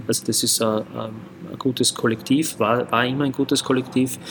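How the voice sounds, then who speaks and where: At a moderate pace, a man of medium pitch speaks against noticeable background noise. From Graz, Austria. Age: 40s. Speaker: football club vice-chairman. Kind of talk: casual interview. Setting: in a pub room.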